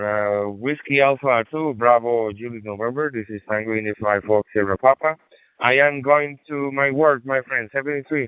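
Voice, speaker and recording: A man with a Spanish accent and ordinary pitch variation. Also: medium pitch for a man, moderate pace. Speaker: ham radio operator. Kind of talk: ham radio contact. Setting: radio transmission.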